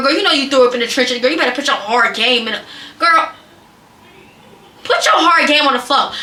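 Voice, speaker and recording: A woman's raised, projected voice, high in pitch, very fast with long, frequent pauses, very even loudness and ordinary pitch variation, amid noticeable background noise and audible room echo. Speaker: content creator / vlogger. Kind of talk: casual advice vlog. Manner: animated.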